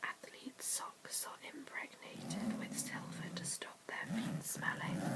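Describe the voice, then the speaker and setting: Noticeable background noise fills the clip. Over it, someone is whispering. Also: fairly slow pace. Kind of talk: ASMR whispered reading. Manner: whispered; soft-spoken.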